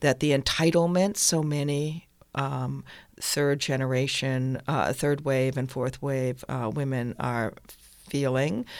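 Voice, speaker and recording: With an American accent, a woman speaks at a very slow pace in a very deep, low voice with fairly even intonation. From Northampton, Massachusetts. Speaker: playwright and theater director. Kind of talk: interview.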